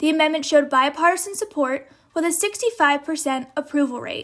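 With an American accent, a woman speaks at a high pitch and moderate pace, her intonation lively. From US Midwest, St. Louis. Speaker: student podcast host. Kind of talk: scripted narration.

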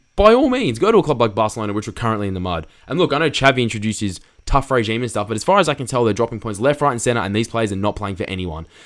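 A furious voice races along at a very fast pace with lively intonation. The recording is very clean, with a silent background. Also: man. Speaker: podcast host. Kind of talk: angry rant. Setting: solo recording. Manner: furious, emphatic, scolding; casual, chatty, apologetic.

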